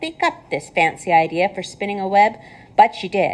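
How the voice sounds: A natural reading voice shows an ordinary amount of pitch movement.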